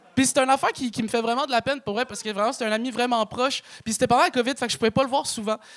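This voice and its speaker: A man with a Quebec accent, an extremely high pitch, fairly even intonation, a very fast pace and a dry, close sound with no echo. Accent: Québécois French. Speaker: stand-up comedian. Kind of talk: stand-up. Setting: stage with audience. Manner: casual, filler-heavy.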